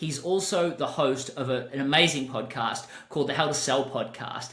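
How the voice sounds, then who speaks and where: A man talks at a moderate pace. Noticeable background noise and audible room echo surround his voice. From Australia. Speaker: podcast host and business coach. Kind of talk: podcast interview.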